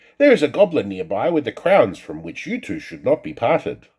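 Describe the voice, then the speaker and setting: A man puts on a character voice. It is fairly high in pitch and moves at a fairly quick pace. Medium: read story.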